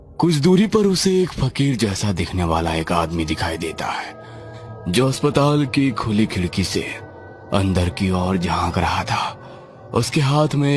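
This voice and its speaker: A man performs a cartoonish character voice at a fairly slow pace. Clear music plays in the background. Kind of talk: horror narration. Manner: slow, suspenseful.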